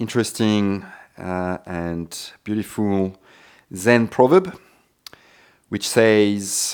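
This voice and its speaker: A man's fairly low voice at a very slow pace, with fairly even intonation and long, frequent pauses, on a very clean recording with a silent background. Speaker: yoga teacher. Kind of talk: yoga class instruction. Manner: calm, soft-spoken, reflective.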